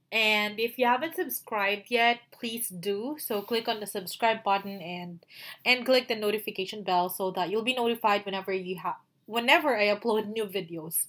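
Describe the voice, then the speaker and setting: Speaking at a moderate pace with ordinary pitch variation and a Filipino accent, this voice comes through on a very clean recording with a silent background. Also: woman, fairly high pitch for a woman. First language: Tagalog. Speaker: virtual assistant and YouTuber. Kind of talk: tutorial. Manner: halting, many fillers.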